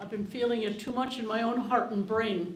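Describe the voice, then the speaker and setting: A woman speaks over noticeable background noise. Audible room echo surrounds her voice. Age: 80s+. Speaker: audience member at town hall. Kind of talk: public comment at town hall. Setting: library town hall with audience. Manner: halting, repeating words; impassioned.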